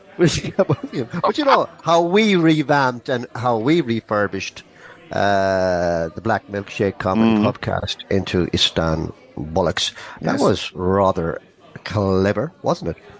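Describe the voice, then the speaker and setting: Over background music, a man speaks at a fairly slow pace in a medium pitch with very wide pitch swings. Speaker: comedy podcast host. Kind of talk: casual podcast banter.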